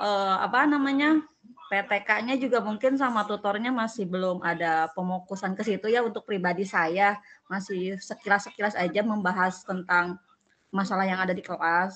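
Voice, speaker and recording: Speaking at a moderate pace and medium pitch, a woman uses a normal speaking voice with ordinary pitch variation. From Tangerang, Indonesia. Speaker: university student, school operator. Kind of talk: online tutorial discussion.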